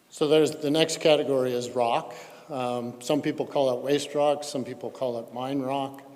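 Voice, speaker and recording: Noticeable background noise accompanies a man who speaks at a fairly high pitch and a moderate pace in a monotone, flat intonation. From Colorado. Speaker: geochemistry expert witness. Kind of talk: technical presentation at public hearing. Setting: public hearing. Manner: halting with fillers.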